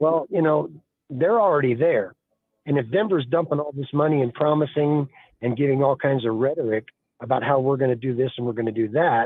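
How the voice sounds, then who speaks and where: Using a normal speaking voice, a man with an American accent talks at a fairly quick pace, with a fairly high pitch and ordinary pitch variation. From Colorado. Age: 60s. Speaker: caller. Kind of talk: call-in radio opinion.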